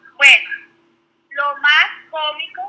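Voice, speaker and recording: This is a woman speaking. Her pitch is high. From Venezuela. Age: 20s. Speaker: stay-at-home mother, former teacher. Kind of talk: personal birth story in casual interview.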